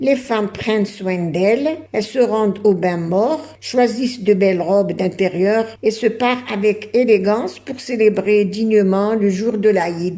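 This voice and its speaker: At a very slow pace yet with hardly any pauses, a woman talks in a fairly high voice with ordinary pitch variation over noticeable background noise. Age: 70s. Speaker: YouTuber on heritage and cooking. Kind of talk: narration of traditions. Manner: hesitant with fillers.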